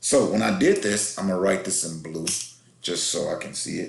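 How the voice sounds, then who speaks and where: Someone speaks at a fairly quick pace with audible room echo. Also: man. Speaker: math teacher. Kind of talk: tutorial. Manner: fast.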